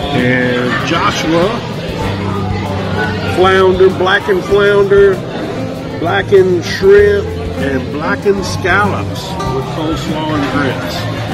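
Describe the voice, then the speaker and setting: Clear music sits behind a man who speaks at a very slow pace, with long, frequent pauses. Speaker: food reviewer narrating. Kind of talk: casual vlog chat. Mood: cheerful, pleased. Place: cafe. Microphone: phone near.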